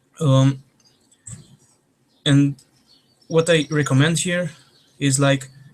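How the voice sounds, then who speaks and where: A Romanian-accented man with fairly high pitch, monotone, flat intonation and a fairly slow pace. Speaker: trainer. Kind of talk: online training.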